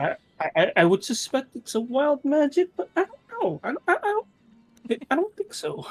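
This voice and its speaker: A put-on character voice, pitched high, moves at a moderate pace with long, frequent pauses. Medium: actual play. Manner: rambling, stammering.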